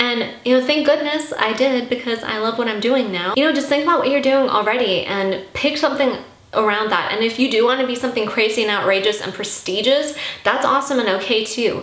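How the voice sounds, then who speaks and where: A woman with a high-pitched, animated voice talks at a fairly quick pace over noticeable background noise, with audible echo in the room. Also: ordinary pitch variation. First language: Armenian. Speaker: YouTuber. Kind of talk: casual Q&A vlog.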